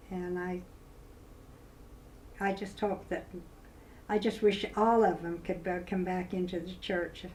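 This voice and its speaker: A woman in a Utah accent, monotone and flat in intonation, with audible room echo. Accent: Utah, western US. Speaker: grandmother recording personal history. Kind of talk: personal testimony interview. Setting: filmed interview. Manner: halting, with repetitions.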